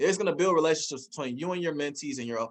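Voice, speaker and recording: A man's raised, projected voice sounds animated, with a bright, sharp tone. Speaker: network marketing forex mentor. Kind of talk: online training presentation. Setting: livestream with chat. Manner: fast.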